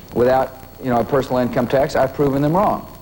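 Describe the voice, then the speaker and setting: Against noticeable background noise, a man with a fairly high voice speaks fairly quickly with fairly even intonation. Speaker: state governor. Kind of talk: interview answer.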